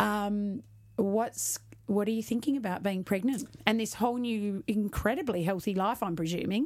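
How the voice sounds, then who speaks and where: In a very clean recording with a silent background, a woman with an Australian accent talks at a moderate pace, medium pitch and ordinary pitch variation. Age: middle-aged. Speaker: podcast host, fitness business owner. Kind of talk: casual interview.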